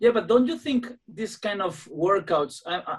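A speaker with a Spanish accent talks at a fairly slow pace, with ordinary pitch variation. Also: man. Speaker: podcast host, gym owner, musician. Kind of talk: interview in second language. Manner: halting.

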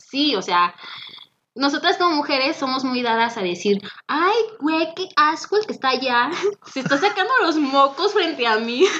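A woman's high, raised, projected voice in a Mexican accent, at a moderate pace with very wide pitch swings. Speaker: former radio host. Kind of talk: casual chat. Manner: energetic.

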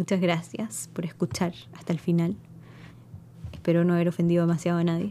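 A woman's fairly low, dark and mellow voice at a fairly quick pace, with fairly even intonation, very even loudness and long, frequent pauses. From Chile. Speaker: spiritual podcast host. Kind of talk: solo monologue podcast. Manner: conversational, with many fillers and hesitations.

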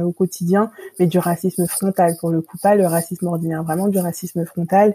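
A woman speaks at a fairly quick pace in a fairly low pitch, with a dark, mellow tone. Her voice is somewhat breathy and her intonation is monotone and flat. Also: dry, close sound with no echo. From Île-de-France, of French Antillean family. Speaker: teacher. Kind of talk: interview conversation.

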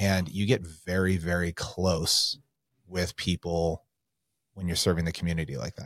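A man with an American accent speaks at a very deep, low pitch with fairly even intonation. The recording is very clean, with a silent background. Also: moderate pace, dry, close sound with no echo. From California. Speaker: real estate agent, former firefighter and police officer. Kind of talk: casual chat.

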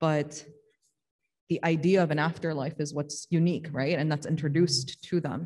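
A woman with a very deep, low pitch speaks at a moderate pace in a somewhat breathy, dark, mellow tone with monotone, flat intonation. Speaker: religious teacher. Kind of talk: religious study discussion.

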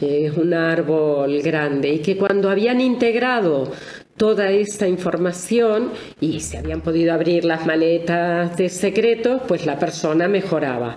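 The speaker has lively intonation and a fairly slow pace, with audible room echo. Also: woman, fairly low pitch for a woman. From Argentina. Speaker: family constellations therapist and author. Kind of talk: interview.

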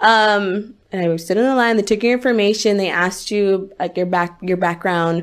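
An ordinary speaking voice keeps a moderate pace and fairly even intonation with hardly any pauses, recorded very cleanly against a silent background. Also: woman, medium pitch for a woman. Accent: American. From La Puente, Los Angeles area. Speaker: singer. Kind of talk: casual interview chat.

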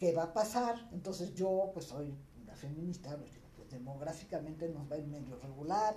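A woman with a fairly low pitch speaks at a moderate pace with lively intonation and big swings in loudness, over noticeable background noise and audible room echo. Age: 60s. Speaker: feminist activist. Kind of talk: casual chat.

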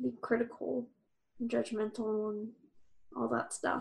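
A woman is speaking. Her pace is very slow. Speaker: podcast host. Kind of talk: casual chat.

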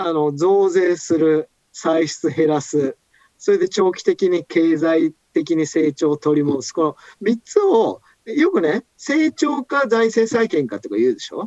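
This man's high voice has an animated tone and very wide pitch swings at a fairly slow pace, with a dry, close sound and no echo. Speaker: economist. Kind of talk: casual chat. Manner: animated, storyteller-like.

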